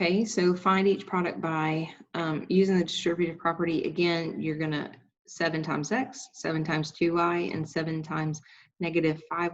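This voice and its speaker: At a moderate pace, the speaker talks in an unremarkable speaking voice. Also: woman. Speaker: high school math teacher. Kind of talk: tutorial.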